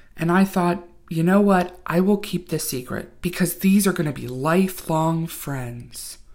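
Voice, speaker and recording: With lively intonation, a woman speaks in a normal speaking voice at a medium pitch. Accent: American. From Virginia, small town. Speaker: podcast host. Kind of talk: storytelling podcast narration.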